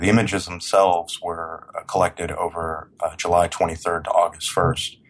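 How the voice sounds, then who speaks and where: Noticeable background noise surrounds a man whose pitch is very deep and low. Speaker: human rights organization director. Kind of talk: interview.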